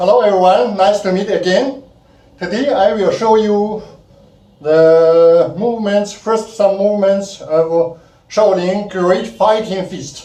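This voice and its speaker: A man with a high pitch speaks very slowly amid audible room echo. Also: ordinary pitch variation. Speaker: kung fu instructor. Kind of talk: tutorial. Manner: halting; counting aloud.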